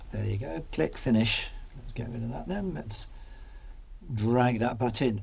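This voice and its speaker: A man speaks with a British accent, leaving long, frequent pauses. The room echo is clearly audible. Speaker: video editing tutor. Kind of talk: tutorial.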